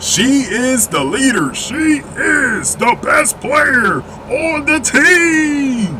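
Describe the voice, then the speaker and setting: The voice is raised and projected, moving at a very slow pace. Noticeable background noise runs underneath. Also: man, extremely high pitch for a man, lively intonation. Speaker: basketball commentary youtuber. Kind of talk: opinion commentary. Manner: loud.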